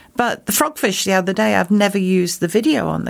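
Noticeable noise sits behind the speech. Its intonation rises and falls in a lively way. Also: woman. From Wales, near Swansea. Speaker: scuba diver and underwater photographer. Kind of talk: casual chat. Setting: studio.

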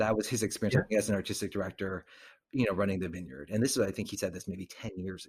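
Speaking at a very fast pace, a man uses a fairly low pitch with ordinary pitch variation. His voice is somewhat breathy. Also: big swings in loudness. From US, child of Korean immigrants. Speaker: actor, director and acting teacher. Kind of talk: casual interview. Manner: frequent ums and fillers.

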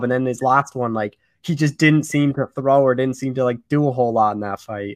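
Speaking at a fairly quick pace, a man has an unremarkable speaking voice. His pitch is medium, with ordinary variation. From Canada. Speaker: MMA podcast host. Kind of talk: interview; scripted intro.

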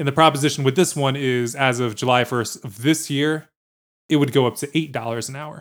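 A man with an American accent talks at a fairly quick pace in a fairly high voice. His intonation stays fairly even, and the recording is very clean with a silent background. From New Jersey and Virginia. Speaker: podcast producer and co-host. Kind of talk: casual banter podcast chat. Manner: playful, jokey.

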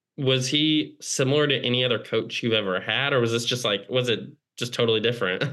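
A man talks very fast at a medium pitch, with ordinary pitch variation and very even loudness. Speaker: podcast host. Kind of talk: interview.

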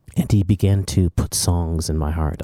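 A soft-spoken man with a very deep, low pitch and a dark, mellow tone, fairly even intonation at a fairly slow pace, on a very clean recording with a silent background and a dry, close sound with no echo. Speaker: worship leader and songwriter. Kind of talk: interview testimony. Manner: quiet, soft-spoken off stage.

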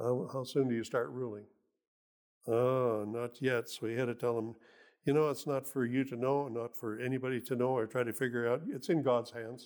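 With fairly even intonation, a man speaks at a medium pitch and a moderate pace. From Canada. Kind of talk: sermon. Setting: church. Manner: halting.

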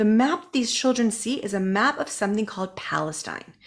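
A woman with an American accent, medium pitch and moderate pace, on a very clean recording with a silent background. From US, Southern California (North County San Diego). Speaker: business coach and podcast host. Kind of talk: interview.

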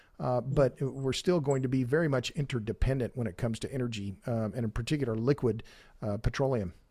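Very fast and somewhat breathy, a man speaks at a medium pitch with a dark, mellow tone and ordinary pitch variation. The recording is very clean, with a silent background. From Oklahoma. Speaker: energy author and podcaster. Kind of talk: interview.

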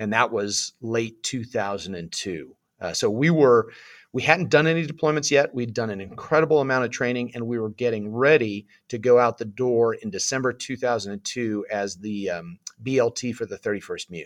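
A man's medium-pitched voice with a West Coast US accent, moderate pace and ordinary pitch variation, on a very clean recording with a silent background. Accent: General American (West Coast). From Southern California. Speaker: former Marine infantry officer. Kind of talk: interview storytelling.

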